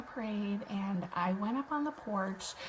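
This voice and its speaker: A soft-spoken woman with an American accent talks at a fairly slow pace in a medium pitch. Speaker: web designer and online business host. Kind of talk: casual livestream chat. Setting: live video stream at home. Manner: quiet, soft-spoken; hesitant, many fillers.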